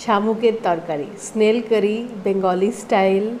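A woman at a moderate pace with fairly even intonation, over light background noise. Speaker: food vlogger. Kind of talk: casual vlog chat. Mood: cheerful, relaxed. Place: home room. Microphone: lapel.

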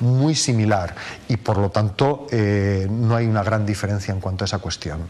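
His pitch moves with ordinary variation. The man keeps a fairly quick pace. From Valencia region, Spain. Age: 50s. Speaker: mayoral candidate, politician; candidate. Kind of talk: TV interview; interview answer. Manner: halting, with frequent repetitions. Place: studio. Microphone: lapel.

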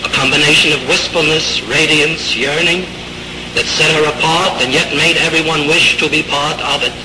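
Noticeable background noise runs under a man's voice. He keeps a moderate pace and very even loudness. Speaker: acting teacher. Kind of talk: funeral eulogy. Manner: solemn, grieving.

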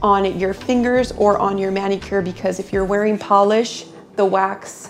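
Her intonation stays fairly even at a moderate pace. Faint music sits in the background behind this woman. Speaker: waxing instructor. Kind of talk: tutorial. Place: shop.

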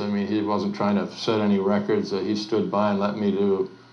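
A man with fairly even intonation, with audible room echo. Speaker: interviewee. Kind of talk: interview answer. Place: home room.

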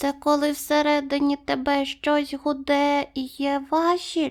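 In a put-on character voice, the speaker uses a high pitch and flat, monotone intonation at a fairly slow pace. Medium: read story.

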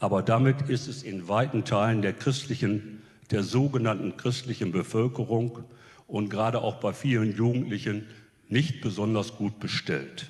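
A man speaks at a moderate pace in a somewhat breathy voice. His pitch is medium, with ordinary pitch variation. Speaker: retired theologian, professor. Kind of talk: panel statement.

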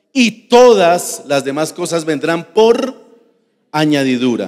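A man's high-pitched voice over a quiet background. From Colombia. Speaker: pastor. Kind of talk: sermon. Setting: church. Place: church. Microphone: handheld.

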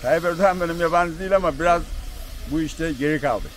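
A man's fairly high voice at a fairly quick pace, with ordinary pitch variation, dry sound without echo, and light background noise. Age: 50s. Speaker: tea farmer. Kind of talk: interview. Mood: cheerful, opinionated. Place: street. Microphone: phone near.

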